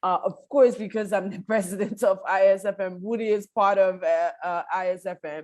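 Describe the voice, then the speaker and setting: Using an ordinary speaking voice at a medium pitch, a woman talks at a moderate pace with hardly any pauses, fairly even intonation and big swings in loudness. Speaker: law professor and association president. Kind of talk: academic lecture over video call.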